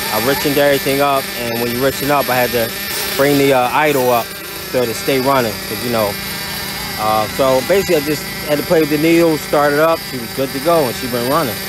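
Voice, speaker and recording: A man talks very fast over noticeable background noise, the sound dry with no echo. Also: ordinary pitch variation. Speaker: RC hobby vlogger. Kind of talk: casual vlog chat. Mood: upbeat, joking, laughing. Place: open country. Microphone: phone near.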